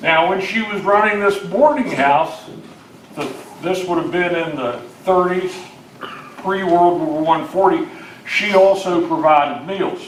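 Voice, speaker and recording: A man's high voice in an American accent, with long, frequent pauses and noticeable background noise. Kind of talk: oral history talk to an audience. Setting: live audience gathering.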